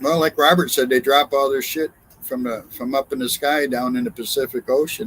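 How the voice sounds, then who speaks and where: A man speaks at a fairly quick pace in an ordinary speaking voice, his pitch fairly high. The sound is dry and close, with no echo. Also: ordinary pitch variation. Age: 60s. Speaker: truck driver. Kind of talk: casual chat.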